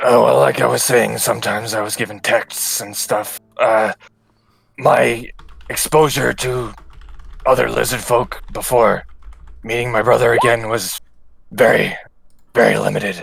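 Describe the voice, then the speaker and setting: Using a raspy, put-on character voice, the speaker keeps a moderate pace but leaves long, frequent pauses. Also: man, medium pitch for a man. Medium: actual play. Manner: hesitant, halting.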